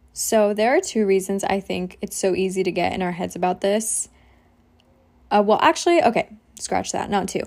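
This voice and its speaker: A woman with an American accent speaks in an ordinary speaking voice at a moderate pace, her medium pitch showing ordinary variation. The recording is very clean, with a silent background. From US. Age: 20s. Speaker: podcaster and social media creator. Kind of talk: casual monologue.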